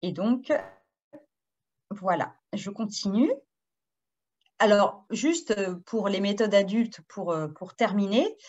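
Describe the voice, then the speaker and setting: A woman speaks at a very slow pace with long, frequent pauses, her medium-pitched voice somewhat breathy and ordinary in pitch variation. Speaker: educational publisher presenter for French teachers. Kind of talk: webinar presentation. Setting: video webinar. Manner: hesitant, many fillers (euh, hein).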